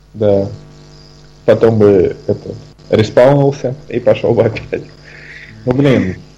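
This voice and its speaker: Over noticeable background noise, a man speaks at a very slow pace. His speech has long, frequent pauses. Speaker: podcast co-host. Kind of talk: casual chat. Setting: video call.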